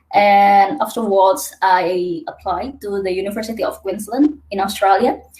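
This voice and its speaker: A woman speaks very slowly at a medium pitch, in an Indonesian accent. Her voice is somewhat breathy. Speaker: PhD student. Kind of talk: webinar presentation.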